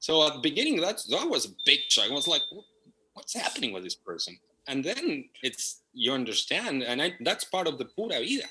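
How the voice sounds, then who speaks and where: With a Spanish accent, a man speaks at a fairly quick pace. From Argentina, Buenos Aires. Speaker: property management company partner. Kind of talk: interview.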